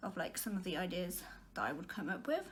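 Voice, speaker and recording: Through noticeable background noise and audible room echo, a woman talks at a very fast pace. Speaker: vlogger. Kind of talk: casual monologue.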